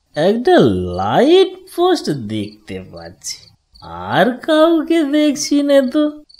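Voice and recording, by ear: A man in a cartoonish character voice speaks slowly at an extremely high pitch, with very wide pitch swings and a slightly mellow tone.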